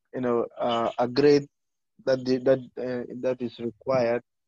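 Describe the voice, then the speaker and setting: Close and dry with no echo at all, the recording captures a man speaking. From Gambia. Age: 20s. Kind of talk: interview. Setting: remote call.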